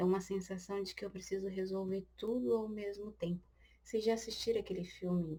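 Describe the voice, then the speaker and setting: Her voice is somewhat breathy with a dark, mellow tone, sitting at a medium pitch for a woman with fairly even intonation. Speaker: tarot reader. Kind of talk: tarot reading. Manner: slow; occasional stammering.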